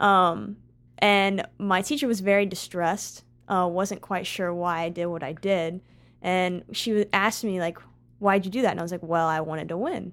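A woman's plain voice, a normal speaking voice, on a very clean recording with a silent background. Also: medium pitch for a woman, ordinary pitch variation, moderate pace. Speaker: college basketball player. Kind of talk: casual interview chat.

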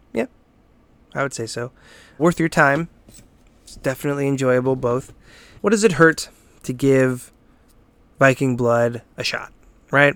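Speaking at a fairly slow pace with long, frequent pauses, a man at medium pitch uses ordinary pitch variation and big swings in loudness, in a very clean recording with a silent background. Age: 30s. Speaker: podcast host, gaming site owner. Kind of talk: casual solo review podcast. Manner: casual, with frequent fillers and repetitions.

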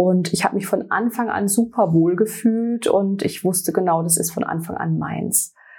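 A woman speaks at a moderate pace and medium pitch with hardly any pauses. Her somewhat breathy voice has a dark, mellow tone and fairly even intonation. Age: 40s. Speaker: sales representative for a hair care brand. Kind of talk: interview.

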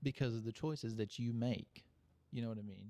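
A man talks with an Arkansas accent and ordinary pitch variation. His tone is dark and mellow. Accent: Southern US, Arkansas. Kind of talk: religious discussion. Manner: casual, folksy.

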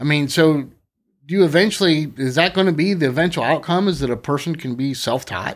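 A man speaks in an ordinary speaking voice at a fairly quick pace. His pitch is fairly high and varies in an ordinary way. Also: very clean recording, silent background. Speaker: podcast host. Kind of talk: casual chat. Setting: studio.

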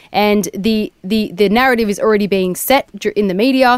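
In a dry, close sound with no echo, a woman with an Australian accent speaks at a fairly high pitch with ordinary pitch variation. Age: 30s. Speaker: activist. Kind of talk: interview.

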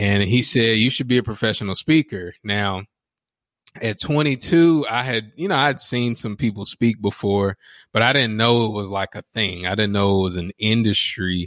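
On a very clean recording with a silent background and a dry, close sound with no echo, a man uses a normal speaking voice at a fairly low pitch, with ordinary pitch variation and a moderate pace. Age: 30s. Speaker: professional speaker and coach. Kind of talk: casual interview.

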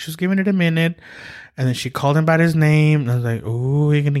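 Here is an unremarkable speaking voice from a man. His pitch is fairly high, with ordinary variation. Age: 30s. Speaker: podcast host. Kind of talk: casual chat. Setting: studio.

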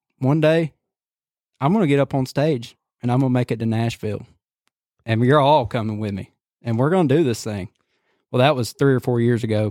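Recorded very cleanly against a silent background, a man with a Southern US accent talks at a fairly quick pace with ordinary pitch variation. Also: dry, close sound with no echo. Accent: Southern US (Georgia). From US South (Cedartown, Georgia). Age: 20s. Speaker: hunting videographer. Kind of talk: casual chat.

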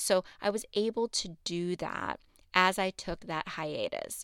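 A woman speaks at a fairly slow pace and medium pitch in a bright, sharp, animated tone with ordinary pitch variation, recorded very cleanly against silence with a dry, close sound and no echo. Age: 30s. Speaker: podcast host. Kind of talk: casual monologue.

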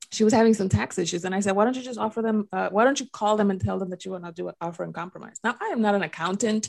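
A woman with a slight Dominican accent talks at a very fast pace with hardly any pauses. Her medium-pitched voice shows ordinary pitch variation. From Dominican Republic. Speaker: podcast co-host. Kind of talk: casual podcast conversation.

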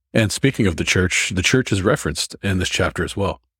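The recording is very clean, with a silent background and a dry, close sound with no echo. It carries a plain, everyday voice with ordinary pitch variation. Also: man. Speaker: podcast host. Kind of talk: scripture study discussion. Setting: studio.

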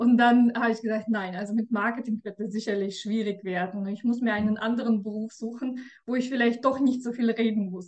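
Talking at a fairly quick pace with hardly any pauses, a woman with a Russian accent uses a fairly high, monotone, flat voice. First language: Russian (speaking German). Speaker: tax advisor. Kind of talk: interview. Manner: hesitant, with fillers.

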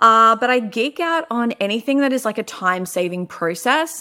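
Speaking at a moderate pace, a woman uses lively intonation and an animated tone. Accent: Australian. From Melbourne, Australia. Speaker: podcast host, business coach. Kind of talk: casual monologue.

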